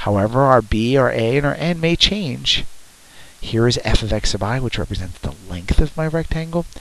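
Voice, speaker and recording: Over noticeable background noise, a man at medium pitch speaks at a moderate pace with lively intonation. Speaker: math teacher. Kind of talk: tutorial.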